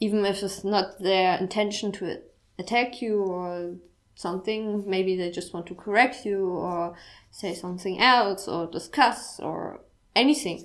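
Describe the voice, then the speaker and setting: A woman with a strong German accent talks at a fairly slow pace in a medium pitch, her pitch varying in an ordinary way. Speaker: podcast host. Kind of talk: personal monologue. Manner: halting.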